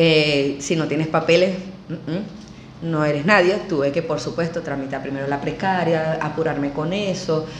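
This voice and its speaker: A woman with a Venezuelan accent speaks at a fairly slow pace and a fairly low pitch with ordinary pitch variation, amid audible room echo and noticeable background noise. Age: 50s. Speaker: emigrant entrepreneur, former university lecturer. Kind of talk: interview.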